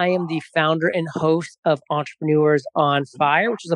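A man with an ordinary speaking voice talks at a moderate pace in a fairly high pitch, with fairly even intonation and a dry, close sound with no echo. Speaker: podcast host and founder. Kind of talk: recorded podcast contribution, advice talk.

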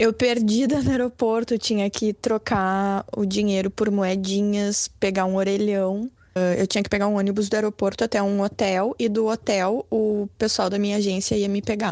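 Speaking in a medium pitch with hardly any pauses, a woman keeps a moderate pace, very even loudness and monotone, flat intonation. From Brazil, Porto Alegre. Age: 30s. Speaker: lawyer, former model. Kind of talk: interview.

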